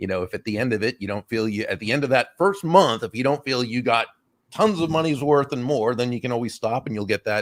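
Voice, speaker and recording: Speaking fairly quickly with lively intonation, a man uses an ordinary speaking voice at medium pitch, the sound dry and close with no echo. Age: 60s. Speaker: business author and speaker. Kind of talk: casual interview chat.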